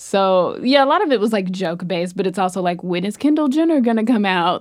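A woman with an American accent has an unremarkable speaking voice at medium pitch. She talks at a fairly quick pace with lively intonation and hardly any pauses. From US South. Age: 20s. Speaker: comedian. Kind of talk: casual chat.

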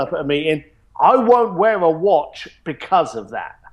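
The speaker has a London accent. The intonation is lively. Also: man. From East London, England. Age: 40s. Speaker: luxury experience company founder. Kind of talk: interview.

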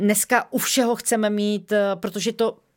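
On a very clean recording with a silent background, a woman uses an unremarkable speaking voice at medium pitch with ordinary pitch variation. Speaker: company co-founder. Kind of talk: interview.

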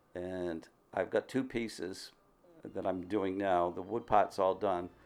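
A man with an unremarkable speaking voice talks at a fairly slow pace, his fairly low pitch held in a fairly even intonation. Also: very clean recording, silent background. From Massachusetts, US. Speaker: wood sculptor. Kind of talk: interview. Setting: studio.

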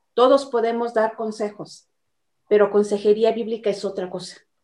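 Dark and mellow in tone, this voice moves at a moderate pace. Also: woman. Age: 50s. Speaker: church member. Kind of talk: testimony.

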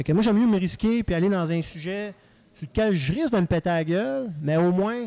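Long, frequent pauses break up this man's speech. His pitch is high, his tone dark and mellow, with ordinary pitch variation. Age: 40s. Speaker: comedian. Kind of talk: casual chat. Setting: live venue. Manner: fast.

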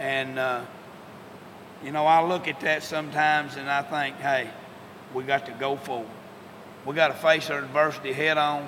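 Against noticeable background noise, a man with an American accent speaks at a moderate pace with long, frequent pauses. His pitch is fairly high and his intonation monotone and flat. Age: 50s. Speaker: high school football coach. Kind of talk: interview. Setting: locker room. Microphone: poor audio quality.

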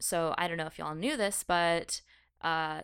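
On a very clean recording with a silent background, a woman with a plain, everyday voice and a fairly low pitch speaks at a fairly quick pace with fairly even intonation. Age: 20s. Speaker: podcast co-host. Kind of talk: casual chat.

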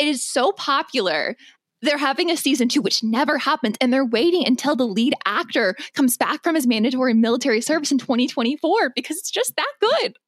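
Animated and playful, the voice moves at a fairly quick pace with lively intonation, the sound dry and close with no echo. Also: woman, high pitch for a woman. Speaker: producer and co-host. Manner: animated, playful.

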